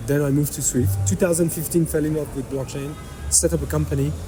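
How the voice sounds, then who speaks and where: Over noticeable background noise, a man with a slight French accent speaks at a fairly quick pace and medium pitch, his voice making very wide pitch swings. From France. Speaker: fintech entrepreneur. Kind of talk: podcast interview.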